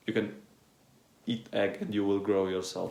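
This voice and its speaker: A man at a moderate pace. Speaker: fitness influencer. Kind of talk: casual monologue.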